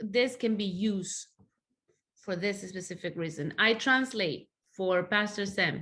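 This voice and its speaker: A woman with a Spanish accent speaks at a fairly slow pace in a medium pitch, with a bright, sharp tone, ordinary pitch variation and a quiet background. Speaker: church translator. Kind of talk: interview testimony.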